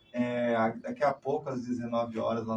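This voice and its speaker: Monotone, flat-intoned speech over music in the background. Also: man. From Paraná, Brazil (Londrina). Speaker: cultural project coordinator. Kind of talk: interview.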